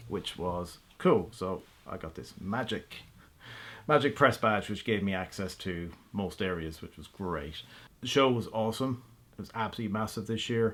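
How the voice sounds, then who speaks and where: An Irish-accented man talks at a moderate pace in a fairly low voice, his loudness swinging widely while his pitch varies in an ordinary way. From Ireland. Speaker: automotive blogger and YouTuber. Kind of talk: casual vlog update. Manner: animated; halting.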